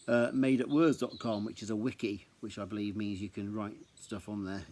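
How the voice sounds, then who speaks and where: In an English accent, a dark, mellow tone carries ordinary pitch variation at a moderate pace on a very clean recording with a silent background. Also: man. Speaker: amateur storyteller reading his own writing. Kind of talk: reading aloud. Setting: outdoors. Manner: casual with hesitations.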